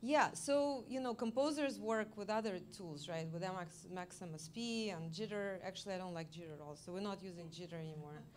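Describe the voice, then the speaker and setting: A woman speaks at a medium pitch and fairly quick pace with hardly any pauses. Her intonation is lively, her loudness swings widely, and the room echo is audible. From Russia. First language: Russian. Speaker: multimedia artist. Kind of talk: artist talk Q&A. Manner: halting.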